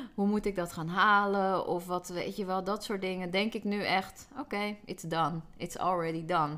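At a moderate pace and medium pitch, a woman speaks in a bright, sharp tone with fairly even intonation and hardly any pauses. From Netherlands, Hoorn (North Holland). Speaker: business mentor. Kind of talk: interview.

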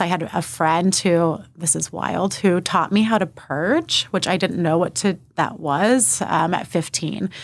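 A woman's fairly low voice, a normal speaking voice, with ordinary pitch variation and a fairly slow pace. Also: very clean recording, silent background. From Texas (Austin, New Braunfels). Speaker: therapist and eating disorder specialist. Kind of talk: interview testimony.

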